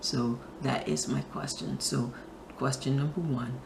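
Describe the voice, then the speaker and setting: Noticeable background noise accompanies a woman whose voice is very deep and low in pitch. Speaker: spiritual talk show host. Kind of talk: inspirational talk to camera.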